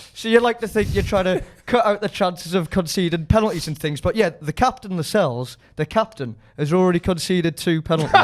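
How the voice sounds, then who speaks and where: A man's high voice in a Geordie accent, very fast, with lively intonation. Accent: Geordie accent, noticeable. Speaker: football fan pundit. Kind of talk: casual interview.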